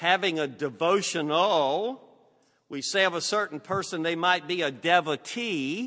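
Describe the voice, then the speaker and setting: Very slow speech from a man with a bright, sharp tone, fairly high pitch, lively intonation and a Southern US accent, against a quiet background. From US South. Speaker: preacher. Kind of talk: sermon. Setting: church.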